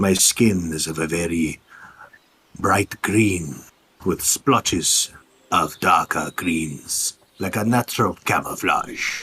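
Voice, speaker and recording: Using a put-on character voice, a man speaks at a very deep, low pitch and a fairly slow pace, with long, frequent pauses. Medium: actual play.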